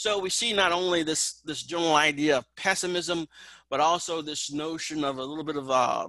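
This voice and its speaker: Speaking at a fairly quick pace, a man uses a fairly high pitch with ordinary pitch variation and a bright, sharp tone. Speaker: college instructor. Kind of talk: lecture. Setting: video call.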